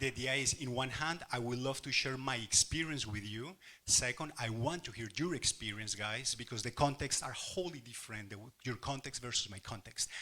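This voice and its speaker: In a very clean recording with a silent background, a man with a strong Spanish accent talks at a fairly quick pace, his tone bright and sharp, his pitch medium with ordinary variation. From Colombia. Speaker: workshop facilitator, investment consultant. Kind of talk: workshop presentation. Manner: passionate, animated.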